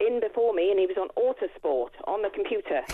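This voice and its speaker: A woman with a Welsh accent, talking at a very fast pace. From Wales. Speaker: caller. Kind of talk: phone-in call. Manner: animated.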